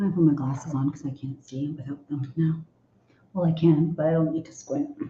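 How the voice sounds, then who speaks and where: Somewhat breathy, a woman with a very deep, low pitch and a dark, mellow tone talks at a moderate pace with fairly even intonation. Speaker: livestream co-host. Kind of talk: casual chat. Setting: livestream.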